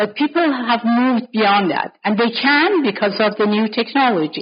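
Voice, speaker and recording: A somewhat breathy woman with lively intonation at a moderate pace. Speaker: scholar leading a panel discussion. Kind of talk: academic panel discussion. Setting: conference panel. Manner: unscripted, spontaneous.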